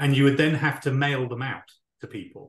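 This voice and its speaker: A man with a British accent speaks at a medium pitch and a moderate pace. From UK. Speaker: talent acquisition leader. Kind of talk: interview.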